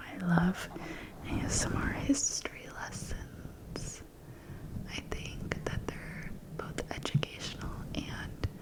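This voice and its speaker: Someone whispers at a very slow pace with long, frequent pauses. Noticeable background noise is audible. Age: 20s. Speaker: ASMR creator. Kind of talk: ASMR whisper ramble. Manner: whispered.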